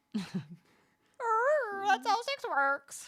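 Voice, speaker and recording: The voice is a put-on character voice. It reaches an extremely high pitch. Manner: squawky.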